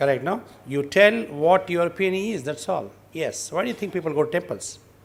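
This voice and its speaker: Speaking at a fairly quick pace with a Kannada accent, a man uses a high pitch and ordinary pitch variation. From Karnataka, India. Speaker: lecturer on traditional healing. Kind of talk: interactive lecture.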